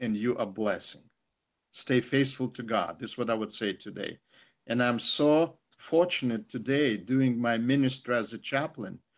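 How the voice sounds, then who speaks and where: A man with a Russian accent speaks at a moderate pace and medium pitch, with ordinary pitch variation against a quiet background. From Soviet Union. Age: 60s. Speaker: chaplain. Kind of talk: testimony. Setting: video call. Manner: halting.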